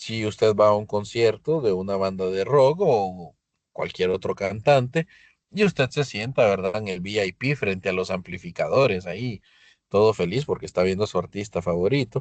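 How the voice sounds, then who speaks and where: At a moderate pace, a man with a fairly low pitch and ordinary pitch variation speaks in a dry, close sound with no echo against a quiet background. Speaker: physics teacher. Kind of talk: lecture. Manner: loud; halting.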